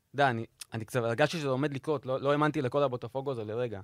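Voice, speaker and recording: The man's voice sits at a medium pitch. The sound is close and dry, without any echo. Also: very clean recording, silent background. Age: 30s. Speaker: video editor and sports podcast panelist. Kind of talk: casual chat.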